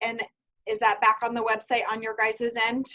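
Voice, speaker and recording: A woman speaks loudly. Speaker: university program advisor. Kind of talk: online information seminar.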